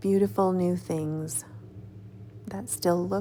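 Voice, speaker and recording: A woman with vocal fry and a dark, mellow tone speaks at a very slow pace with very deep, low pitch. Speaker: textile artist and YouTuber. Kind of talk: casual talk to camera, craft vlog. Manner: friendly, conversational.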